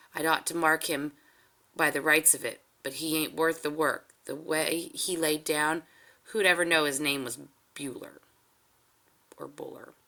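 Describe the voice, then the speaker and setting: A raspy, put-on character voice at middle pitch performs in a rural American accent. It moves at a moderate pace, with long, frequent pauses. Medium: read story. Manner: dry, laconic.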